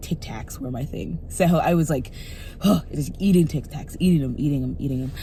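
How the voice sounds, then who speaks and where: A woman talks at a fairly quick pace with a very deep, low pitch and ordinary pitch variation. There is audible room echo and noticeable background noise. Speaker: vlogger. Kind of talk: casual video diary. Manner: fast; rambling, self-correcting.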